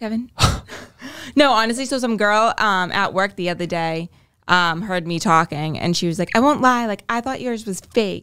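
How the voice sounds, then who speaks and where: With a Boston accent, a woman speaks at a medium pitch and a moderate pace, her tone bright and sharp. Her intonation is lively, and the recording is very clean with a silent background. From Boston, East Boston. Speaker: host's girlfriend. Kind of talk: casual chat.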